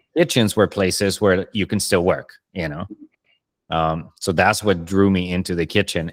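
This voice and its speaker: Recorded very cleanly with a silent background and a dry, close sound with no echo, a man with a Spanish accent speaks at a moderate pace in a very deep, low pitch with fairly even intonation. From Colombia. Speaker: podcast host, chef. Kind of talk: casual interview chat.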